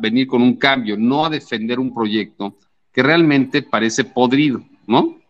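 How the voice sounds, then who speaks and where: Speaking in a normal speaking voice, a man of medium pitch uses lively intonation at a fairly slow pace. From Mexico City. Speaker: sports journalist. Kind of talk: casual chat.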